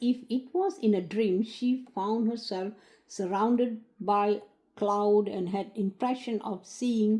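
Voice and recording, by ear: Someone reads a text aloud. The voice is natural.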